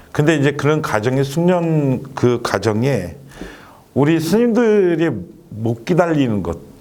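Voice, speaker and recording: A man with a fairly high pitch speaks very slowly, his voice swinging very widely in pitch. Background noise is noticeable. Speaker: resettlement center director. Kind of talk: talk show guest discussion.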